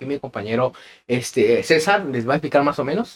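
Speaking at a fairly quick pace, a man makes very wide pitch swings. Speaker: podcast co-host. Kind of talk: casual chat.

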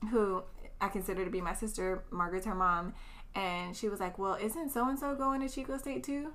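Over audible room echo, a woman with an American accent speaks at a moderate pace in a bright, sharp tone. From US West Coast, East Oakland, California. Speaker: educator with a doctorate. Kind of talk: casual chat. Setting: recorded in person at host's house.

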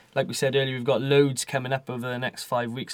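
On a very clean recording with a silent background, a man talks at a very fast pace in a medium pitch. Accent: South Wales. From South Wales, near Caerphilly. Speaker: journalism student podcast host. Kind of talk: casual chat.

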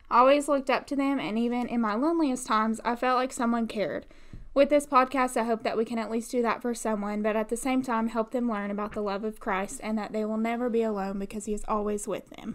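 This woman talks at a very fast pace with hardly any pauses. Her pitch is fairly high and her intonation fairly even. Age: 20s. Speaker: podcast co-host, dental assistant. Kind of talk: casual faith podcast chat.

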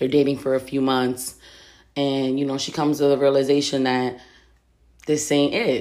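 Her tone dark and mellow, a woman with a very deep, low voice speaks at a moderate pace in a monotone, flat intonation, with long, frequent pauses. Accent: American. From Reading, Pennsylvania. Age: 30s. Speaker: podcast host. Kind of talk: casual solo monologue.

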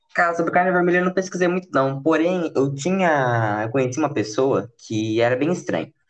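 A fairly high-pitched male voice at a fairly quick pace, with lively intonation and hardly any pauses. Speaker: podcast host. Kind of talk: casual chat.

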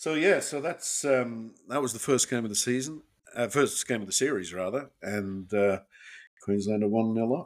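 A man talks at a moderate pace with medium pitch and ordinary pitch variation. The recording is very clean with a silent background. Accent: Australian. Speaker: podcast co-host. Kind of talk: casual chat, retrospective game commentary. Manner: chatty, hesitant, laughing, informal.

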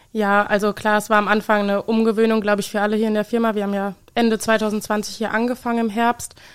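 Racing at a very fast pace with hardly any pauses, a woman speaks in a monotone, flat intonation at a fairly high pitch. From Obertshausen, Hesse. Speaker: trainee industrial clerk. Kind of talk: interview. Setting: studio.

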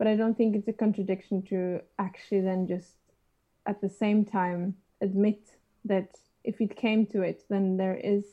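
Against a quiet background, a woman with a Norwegian accent speaks in a dark, mellow tone with monotone, flat intonation. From Norway. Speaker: trumpeter. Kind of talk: interview. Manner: halting.

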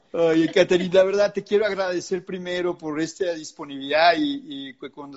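Speaking at a moderate pace, a man with a Mexican accent has a high pitch. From Mexico. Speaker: podcast host. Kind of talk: interview. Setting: live video stream.

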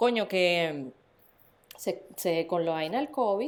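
A woman speaks with a Venezuelan accent. Her intonation is lively. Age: 40s. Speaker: podcast co-host. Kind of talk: casual chat.

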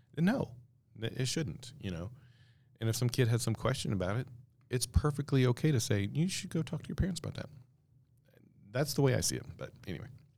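Using vocal fry, a man of medium pitch speaks at a fairly quick pace with lively intonation and long, frequent pauses. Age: 50s. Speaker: podcast host. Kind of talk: casual commentary. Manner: casual, hesitant with fillers.

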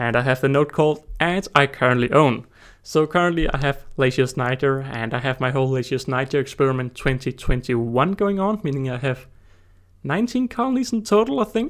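A man with a Danish accent, fairly high-pitched, at a fairly quick pace with lively intonation, on a very clean recording with a silent background. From Denmark. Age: 20s. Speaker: ant-keeper and YouTuber. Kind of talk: casual solo monologue. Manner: fast.

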